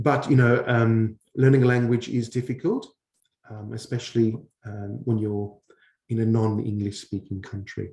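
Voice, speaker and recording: A man talks at a moderate pace in a fairly low, somewhat breathy voice. His tone is dark and mellow. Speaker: English teacher. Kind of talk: online Q&A session. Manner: hesitant, many fillers.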